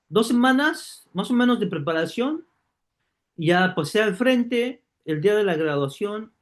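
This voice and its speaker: This man has a high voice and lively intonation. He talks at a fairly slow pace. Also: long, frequent pauses. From Mexico City. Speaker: online course teacher. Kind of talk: online class, personal story. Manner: hesitant with fillers.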